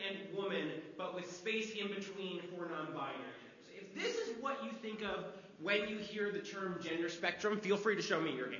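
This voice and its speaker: A man with a high voice talks over noticeable background noise, and the room echo is audible. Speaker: theatre educator giving a talk. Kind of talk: lecture. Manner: loud, projecting to the room. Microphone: speaking without a microphone.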